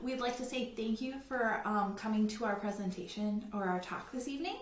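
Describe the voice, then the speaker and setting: In a room with audible echo, a woman talks at a moderate pace with ordinary pitch variation. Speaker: travel agent. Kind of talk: virtual presentation. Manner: animated.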